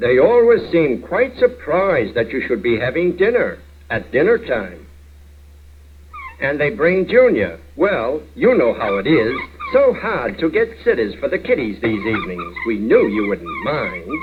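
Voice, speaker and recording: A man with an American accent at a fairly slow pace, amid noticeable background noise. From United States. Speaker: narrator. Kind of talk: comedy short film narration. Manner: dry, wry.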